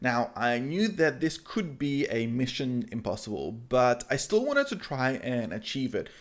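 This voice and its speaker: A man talks at medium pitch in a normal speaking voice. His intonation is lively, and he takes hardly any pauses. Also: moderate pace. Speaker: YouTuber, web and app developer. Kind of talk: vlog-style talk to camera.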